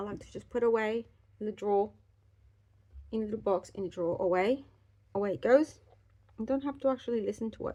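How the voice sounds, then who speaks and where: A woman speaks at a fairly quick pace with long, frequent pauses and big swings in loudness. Her pitch is fairly high, and her tone is dark and mellow. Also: ordinary pitch variation. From Australia. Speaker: life coach, beauty vlogger. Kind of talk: casual get-ready-with-me talk. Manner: fast.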